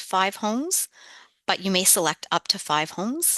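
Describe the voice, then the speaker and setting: A woman speaks at a medium pitch with a Canadian accent. The background is quiet. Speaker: nurse and health services manager. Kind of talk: conference presentation. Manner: fast.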